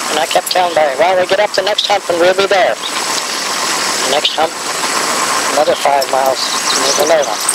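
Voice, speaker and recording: Loud background noise accompanies speech at a moderate pace, the sound dry with no echo. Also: man. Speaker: grandfather telling family history. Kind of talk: elderly man's rambling travel reminiscence, storytelling to family. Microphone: old recording.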